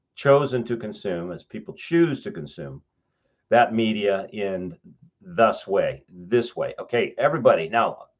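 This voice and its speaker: Over a quiet background, a man with a Western US accent talks at a medium pitch. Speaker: professor. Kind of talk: lecture, reviewing student writing aloud. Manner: halting, frequent self-corrections.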